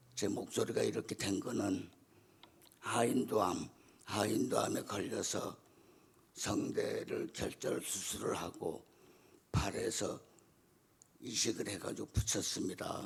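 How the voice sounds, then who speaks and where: A man talks very slowly, stopping for long pauses again and again. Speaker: church deacon. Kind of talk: testimony. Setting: church.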